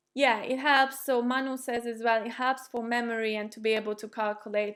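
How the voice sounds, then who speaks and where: A woman with a fairly high pitch talks at a moderate pace in a monotone, flat intonation, with big swings in loudness and hardly any pauses. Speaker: chess streamer and former chess player. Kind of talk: live stream chat with viewers.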